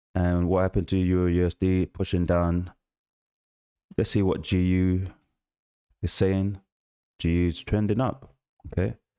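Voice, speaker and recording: A man with a London accent speaks at a moderate pace in a very deep, low pitch with a dark, mellow tone, fairly even intonation and very even loudness. There are long, frequent pauses, and the sound is dry and close with no echo in a very clean recording with a silent background. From South London, England. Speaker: forex trader streaming live trades. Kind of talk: live trading stream commentary. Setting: livestream.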